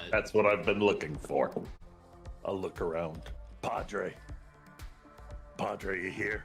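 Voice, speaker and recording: A man's raspy, fairly low put-on character voice with long, frequent pauses over clear music in the background. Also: fairly slow pace. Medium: actual play. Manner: gruff, profane.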